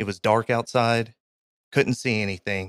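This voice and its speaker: With a Kentucky accent, a man speaks at a moderate pace in a fairly low voice on a very clean recording with a silent background. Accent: Kentucky Southern US. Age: 30s. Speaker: army veteran and graphic designer. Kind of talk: casual interview, storytelling.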